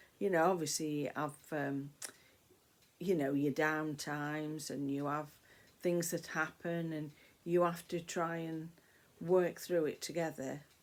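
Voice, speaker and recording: On a very clean recording with a silent background, a woman talks fairly slowly at a very deep, low pitch, with monotone, flat intonation and long, frequent pauses. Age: 60s. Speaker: vlogger. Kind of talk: casual chat. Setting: at home, talking to camera. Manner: rambling, hesitant with fillers.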